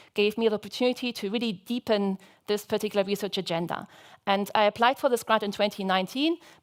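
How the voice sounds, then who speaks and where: In a very clean recording with a silent background, a woman talks at a fairly quick pace. Her pitch is medium and her intonation fairly even. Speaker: researcher presenting grant work. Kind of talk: conference talk. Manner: fast; hesitant, many fillers.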